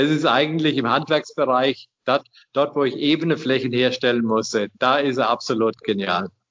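Keeping very even loudness, a man talks at medium pitch and a moderate pace with ordinary pitch variation. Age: 60s. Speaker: inventor, retired master mason and engineer. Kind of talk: interview. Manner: halting.

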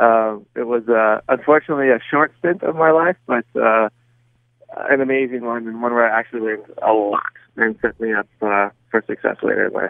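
An unremarkable speaking voice with an American accent, moving at a fairly quick pace. Its pitch variation is ordinary. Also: man, medium pitch for a man. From US, Southern California. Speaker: soccer coach. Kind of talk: interview.

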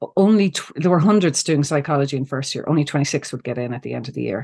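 The voice has a dark, mellow tone and an Ulster accent. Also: woman. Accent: Irish (Cavan). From Ireland, County Cavan. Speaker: psychologist and coach. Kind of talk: interview conversation. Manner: halting.

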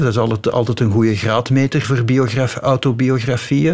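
Noticeable background noise sits behind a man with a Flemish accent. His pitch is medium, with ordinary pitch variation. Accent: Flemish Dutch. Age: 50s. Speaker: author. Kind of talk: radio interview. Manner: hesitant, many fillers.

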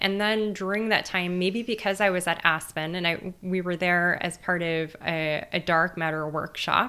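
A woman's voice has a bright, sharp tone and ordinary pitch variation. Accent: Californian. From US West Coast, East Los Angeles. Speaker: theoretical physicist and author. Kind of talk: interview conversation.

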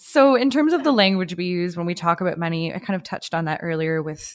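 Recorded very cleanly against a silent background, a woman talks with a dry, close sound and no echo. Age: 20s. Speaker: podcast co-host. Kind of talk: interview; scripted narration.

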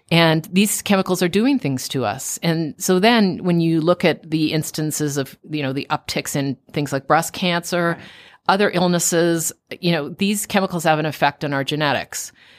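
A woman with a Canadian accent, fairly low-pitched, with ordinary pitch variation, at a moderate pace, a plain, everyday voice, dry and close with no echo, on a very clean recording with a silent background. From Canada, Toronto. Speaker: best-selling author. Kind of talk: radio interview. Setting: radio studio.

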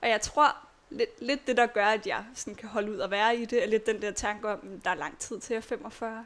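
A woman with an unremarkable speaking voice talks at a fairly slow pace in a fairly high pitch. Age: 20s. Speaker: chronically ill patient and nursing student. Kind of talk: personal testimony interview. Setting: at her home.

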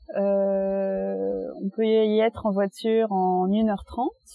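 Music plays in the background as a woman talks at a medium pitch. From France, Reims. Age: 20s. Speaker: interviewee. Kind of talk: casual interview for language learners. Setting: outdoors in a park.

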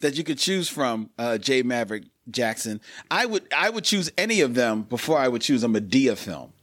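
In a very clean recording with a silent background, a man speaks with a Philadelphia accent. His medium-pitched voice has lively intonation. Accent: American (Philadelphia). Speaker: podcast host. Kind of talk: casual chat. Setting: live stream.

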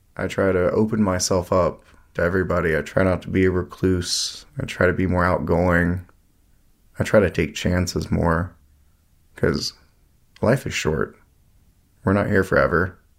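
Speaking at a moderate pace with long, frequent pauses, a man with a very deep, low voice talks with an American accent. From US South, Asheville, North Carolina. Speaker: brother of a fallen Marine. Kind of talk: interview.

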